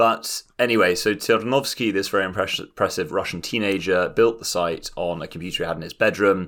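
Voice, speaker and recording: The recording is very clean, with a silent background. A man with a London accent and a fairly low pitch talks at a fairly quick pace. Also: ordinary pitch variation, hardly any pauses. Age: 20s. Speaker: podcast co-host. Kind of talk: casual chat. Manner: animated.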